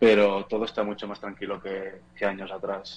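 A man speaks in a fairly low pitch with monotone, flat intonation. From Spain, near Barcelona (Catalonia). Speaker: photojournalist. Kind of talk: interview. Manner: halting, many repetitions.

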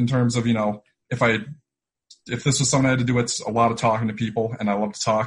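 Talking at a very fast pace, a man with an American accent sounds somewhat breathy at a medium pitch. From Syracuse, New York. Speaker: podcast host and trader. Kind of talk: casual interview chat. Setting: video call.

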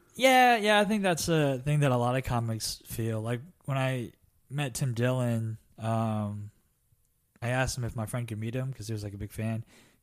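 Using a normal speaking voice, a man talks at a moderate speed, his medium pitch showing ordinary pitch variation. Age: 20s. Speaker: stand-up comedian. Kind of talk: casual chat.

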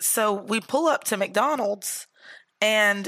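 A woman speaks at a medium pitch with vocal fry and a bright, sharp tone, her pitch varying in an ordinary way, in a dry, close sound with no echo on a very clean recording with a silent background. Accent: American. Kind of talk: casual chat.

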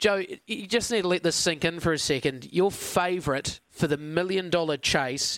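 A man with a New Zealand accent speaks at a high pitch. The recording is very clean, with a silent background. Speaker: radio host and greyhound trainer. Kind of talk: sports radio show. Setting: studio.

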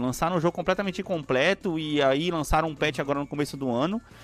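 Over music in the background, the speaker moves at a fairly quick pace with lively intonation. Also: man. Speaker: podcast co-host. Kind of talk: casual chat. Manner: animated.

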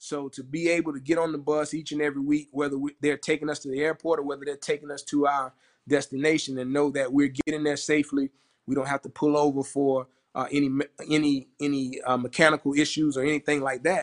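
Rattling along at a very fast pace, a man with a Southern US accent speaks in a flat monotone at a fairly high pitch, with a dry, close sound and no echo. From South Carolina, Orangeburg. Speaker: college football administrator. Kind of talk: casual interview.

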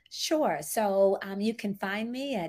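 A woman with an American accent is heard on a very clean recording where the background is silent. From US South, Memphis, Tennessee. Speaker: diversity, equity and inclusion practitioner. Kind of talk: interview.

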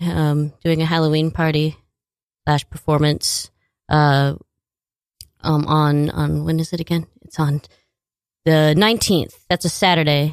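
A woman speaks at a very deep, low pitch and a fairly slow pace. The recording sounds dry and close, with no echo. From US Pacific Northwest (Washington State). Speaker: singer-songwriter. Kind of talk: casual interview chat.

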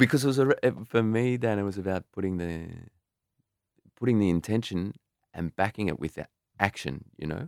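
A man's fairly low voice in an Australian accent, lively in intonation, at a fairly quick pace broken by long, frequent pauses, with a dry, close sound and no echo. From Australia, rural western New South Wales. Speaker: albergue host and podcaster. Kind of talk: casual interview chat. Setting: in person, Sydney.

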